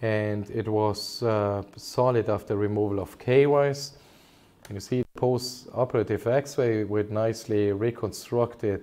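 Fairly low in pitch with a dark, mellow tone, a man speaks at a fairly slow pace with fairly even intonation. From Germany. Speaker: consultant orthopaedic surgeon. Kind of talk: medical webinar presentation. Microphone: webcam.

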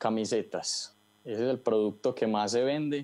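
Medium in pitch, a man's voice has a dark, mellow tone. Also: quiet background. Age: 20s. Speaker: online store owner. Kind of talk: interview. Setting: video call. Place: shop. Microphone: earbuds.

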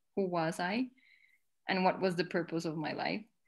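The speaker has a Spanish accent. The intonation is flat and monotone. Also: woman, quiet background. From Colombia. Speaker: spiritual devotee, lawyer. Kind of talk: casual chat. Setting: video call. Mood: warm, reflective. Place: home room. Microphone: video call.

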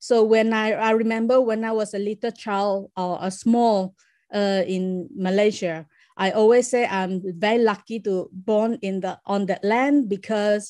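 At a fairly slow pace, a woman speaks at a fairly high pitch with ordinary pitch variation, in a dry sound with no echo and a quiet background. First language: Chinese. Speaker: performance artist; guest. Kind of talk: interview. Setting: video call. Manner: halting. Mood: reflective storytelling. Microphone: video call.

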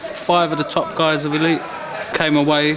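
Crowd noise fills the background. A man talks at a moderate pace. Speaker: gym fighter or coach. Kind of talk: interview answer. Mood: proud, warm. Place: gym.

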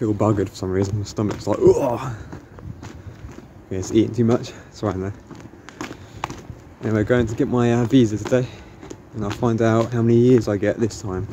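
A man talks at a fairly quick pace in a flat monotone, with a dry sound that has no echo and noticeable background noise. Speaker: vlogger. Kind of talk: casual vlog chat. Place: street. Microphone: phone near.

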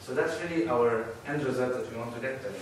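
With strong room echo and light background noise, a man speaks at a moderate pace. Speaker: conference speaker. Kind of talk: lecture. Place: hall.

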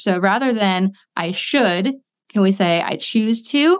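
With an American accent, a woman talks at a medium pitch with lively intonation in an unremarkable speaking voice. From US Midwest, small-town Ohio. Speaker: school psychologist and wellness coach. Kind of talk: casual interview chat.

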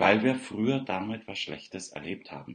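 A man with vocal fry at a moderate pace, against a quiet background. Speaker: self-confidence coach. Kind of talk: morning livestream monologue. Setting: live video stream, unfamiliar surroundings. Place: home room. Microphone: webcam.

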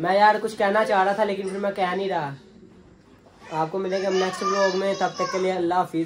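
A man at a moderate pace, high in pitch and monotone and flat, with crowd noise in the background. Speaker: vlogger. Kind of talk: casual vlog chat. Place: home room. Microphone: phone near.

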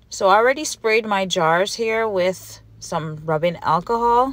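With a slight Jamaican accent, the speaker uses lively intonation at a fairly slow pace. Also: woman. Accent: Jamaican Patois, mild. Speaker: candle maker, small business owner. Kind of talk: casual how-to voiceover.

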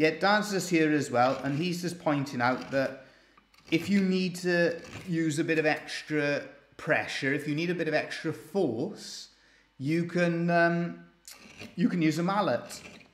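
Audible room echo surrounds a man who leaves long, frequent pauses. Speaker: woodcarver demonstrating. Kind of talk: tutorial. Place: workshop.

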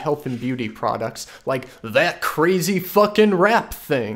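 There is lively intonation as a man talks. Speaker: comedic web show host. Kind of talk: satirical commentary, reading a viewer email. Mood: sardonic, mock-serious. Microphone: studio mic.

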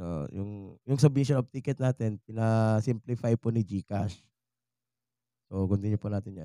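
A man speaks at a fairly slow pace and fairly low pitch, with a dark, mellow tone and ordinary pitch variation. His loudness swings widely, the sound is dry with no echo, and the background is quiet. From Visayas, Philippines. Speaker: YouTuber. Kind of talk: tutorial. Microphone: studio mic.

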